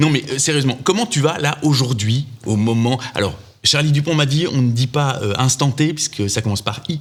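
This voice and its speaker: A man speaks with a slight Belgian accent at a medium pitch. His pace is moderate and his pitch variation ordinary. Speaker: podcast host. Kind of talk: casual chat.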